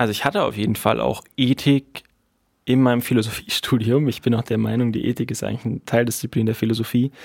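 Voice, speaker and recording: A man's normal speaking voice at a moderate pace, medium in pitch with fairly even intonation, dry and close with no echo, on a very clean recording with a silent background. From Berlin, Germany. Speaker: university student. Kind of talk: casual interview.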